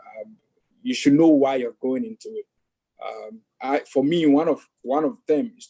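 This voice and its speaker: A strong African accent and a dark, mellow tone at a moderate pace, with very wide pitch swings, big swings in loudness, and a dry, close sound with no echo. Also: man. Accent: thick African. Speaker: investing student. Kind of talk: casual chat. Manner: halting, many fillers.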